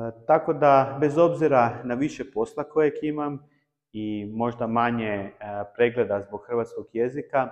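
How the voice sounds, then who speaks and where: The background is quiet. Speech comes at a fairly slow pace with ordinary pitch variation. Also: man, medium pitch for a man. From Croatia. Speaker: table tennis YouTuber. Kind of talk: personal vlog talk. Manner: halting with many filler sounds.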